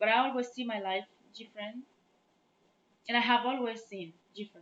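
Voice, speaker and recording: A woman speaks with a Chadian accent and fairly even intonation. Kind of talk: casual talk to camera.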